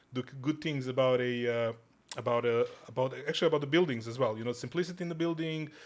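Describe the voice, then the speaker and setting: A very fast-talking man, his voice at a medium pitch. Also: ordinary pitch variation. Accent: Serbian. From Serbia. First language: Serbian. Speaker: podcast guest. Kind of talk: casual chat. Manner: halting, many restarts.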